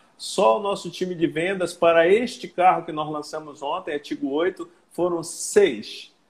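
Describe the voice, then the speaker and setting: At a high pitch, a man speaks at a fairly slow pace with hardly any pauses and ordinary pitch variation. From northern Brazil, Belém (Pará). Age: 60s. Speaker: sales consultant and car dealership manager. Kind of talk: casual interview on a livestream.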